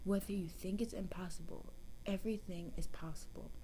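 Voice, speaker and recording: A soft-spoken woman. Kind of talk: soft-spoken ASMR Bible story reading.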